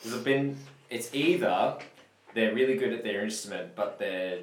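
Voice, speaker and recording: Moderate-paced speech from a man, with audible room echo and noticeable background noise. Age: 30s. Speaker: band member. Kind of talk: casual chat.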